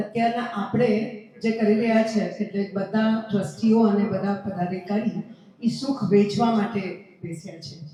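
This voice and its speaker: A woman speaks at medium pitch with a Gujarati accent. Music plays in the background, and room echo is audible. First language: Gujarati (speaking Hindi). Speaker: event organizer. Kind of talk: public appeal.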